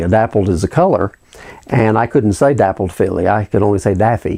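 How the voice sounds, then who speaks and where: Speaking at a fairly quick pace with an American accent, a man has a dark, mellow tone, medium pitch and ordinary pitch variation. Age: 60s. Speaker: horse breeder. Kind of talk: interview.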